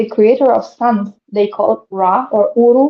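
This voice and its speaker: A woman speaks with fairly even intonation. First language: not English. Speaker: spiritual speaker, channeler. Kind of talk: live stream interview. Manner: halting, many fillers.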